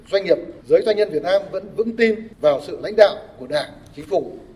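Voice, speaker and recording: A man speaks at a moderate pace in a high voice, his intonation lively. Noticeable background noise runs underneath. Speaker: national assembly deputy. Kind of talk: formal speech.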